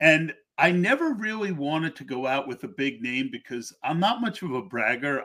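Lively intonation in an American accent, with a bright, sharp tone and a moderate pace. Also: man. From Pennsylvania. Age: 60s. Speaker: podcast host. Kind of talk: casual chat.

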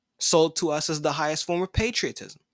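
Against a silent background in a very clean recording, the speaker talks fairly quickly. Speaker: podcast host. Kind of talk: angry political rant; opinionated news commentary. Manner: indignant, emphatic, forceful; conversational, laughs often, repeats himself.

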